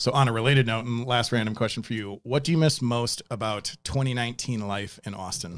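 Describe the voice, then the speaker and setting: Talking at a fairly quick clip with hardly any pauses, a man with an American accent has a plain, everyday voice, a medium pitch and fairly even intonation. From Wisconsin, near Milwaukee. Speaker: podcast host and music composer. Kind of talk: casual interview chat.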